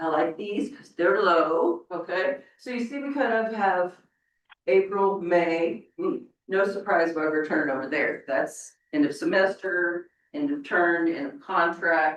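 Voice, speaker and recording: A loud woman with a fairly low pitch and lively intonation, at a fairly slow pace. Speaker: HR director. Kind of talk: board meeting presentation.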